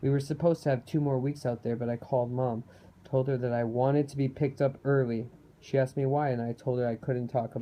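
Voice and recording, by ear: With fairly even intonation, a text is read aloud in a natural voice.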